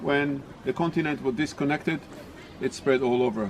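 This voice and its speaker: At a moderate pace, a man with a non-native accent speaks over noticeable background noise. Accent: non-native English, mispronounces words. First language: not English. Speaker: tour guide. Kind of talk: casual storytelling; guided tour commentary.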